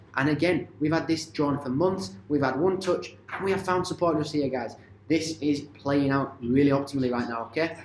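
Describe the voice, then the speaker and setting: A man's fairly high voice with ordinary pitch variation, hardly any pauses and audible room echo. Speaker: crypto and stock market commentator. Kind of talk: market analysis video. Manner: fast.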